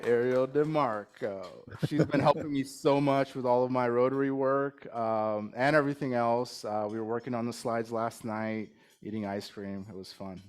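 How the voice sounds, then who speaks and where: A man with a Californian accent talks at a moderate pace and a medium pitch. His pitch varies in an ordinary way, while his loudness swings widely. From Bay Area, California. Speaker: club president. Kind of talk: speech to a club meeting. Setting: lunch meeting in a room with audience.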